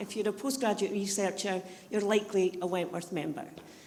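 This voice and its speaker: The speech comes at a fairly quick pace amid noticeable background noise and audible room echo. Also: woman. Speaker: university college manager. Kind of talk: presentation to audience. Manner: loud.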